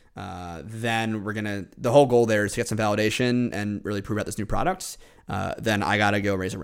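A man with an American accent uses a plain, everyday voice, pitched fairly low. He talks at a fairly quick pace with ordinary pitch variation. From New York (Westchester). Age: 20s. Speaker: entrepreneur. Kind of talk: interview.

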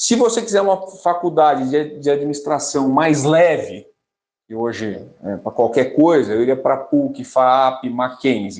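At a fairly slow pace, a man with a fairly high pitch swings his pitch very widely. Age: 40s. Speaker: finance professional, business graduate. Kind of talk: interview. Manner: casual.

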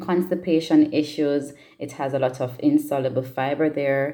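A woman's very deep, low voice in a dark, mellow tone. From Jamaica, Trelawny parish. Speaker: podcast guest sharing childhood memories. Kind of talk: personal storytelling monologue.

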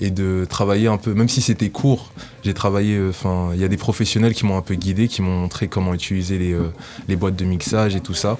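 Noticeable background noise surrounds a man with a fairly low pitch. He talks at a fairly quick pace with fairly even intonation. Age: 20s. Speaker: rapper. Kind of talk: radio interview.

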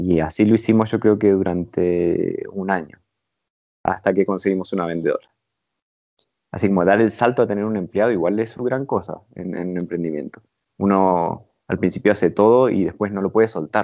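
The pitch of this man's voice is fairly low. He keeps a moderate pace and fairly even intonation. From Argentina, Buenos Aires province and Mar del Plata. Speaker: entrepreneur. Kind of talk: interview. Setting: remote call.

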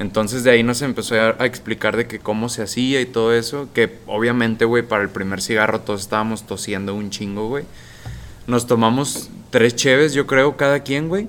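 This man has an ordinary speaking voice at a medium pitch. He keeps a moderate pace with fairly even intonation. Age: 20s. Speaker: sales representative. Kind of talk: casual chat. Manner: casual, slangy.

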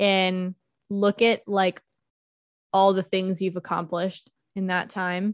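A woman speaks at a fairly slow pace and a medium pitch. The recording is dry and close, with no echo. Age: 20s. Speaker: podcast co-host. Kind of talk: casual chat.

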